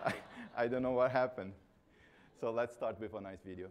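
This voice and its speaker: A man with a Brazilian accent speaks in a fairly even intonation. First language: Portuguese. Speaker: keynote speaker on accessibility. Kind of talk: conference talk.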